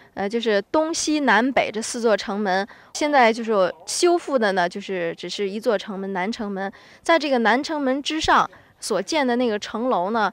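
On a very clean recording with a silent background, a woman with a Hebei accent talks at a fairly slow pace, her fairly high voice marked by lively intonation. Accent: authentic local Zhengding (Hebei). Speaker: local tour guide. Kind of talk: guided tour explanation.

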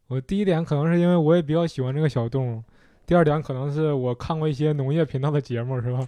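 A man speaks at a very fast pace in a dark, mellow tone with fairly high pitch. His pitch varies in an ordinary way, and the background is quiet. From Shenyang, northeast China. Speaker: stand-up comedian, former vet. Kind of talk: casual chat.

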